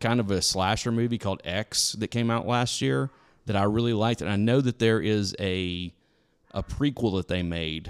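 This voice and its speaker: At a moderate pace, a man with an unremarkable speaking voice talks using lively intonation. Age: 40s. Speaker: podcast host. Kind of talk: casual chat.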